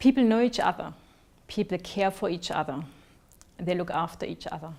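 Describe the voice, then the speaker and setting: A woman with a German accent speaks at a fairly quick pace in a fairly low pitch. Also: ordinary pitch variation. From East Germany. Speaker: researcher sharing personal story. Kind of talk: personal narrative talk.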